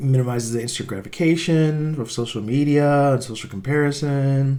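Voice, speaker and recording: A man speaks at a fairly high pitch with a dark, mellow tone, and audible room echo surrounds his voice. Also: ordinary pitch variation, fairly quick pace. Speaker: tech podcaster and app developer. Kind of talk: reaction video commentary. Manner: casual, many fillers and restarts.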